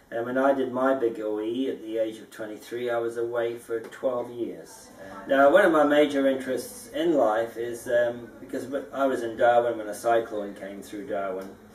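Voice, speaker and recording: Amid noticeable background noise and audible room echo, a man talks at a moderate pace and a medium pitch. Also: fairly even intonation, hardly any pauses. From Scotland, emigrated to New Zealand at 14. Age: 50s. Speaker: dome house builder. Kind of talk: interview. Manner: halting, many fillers.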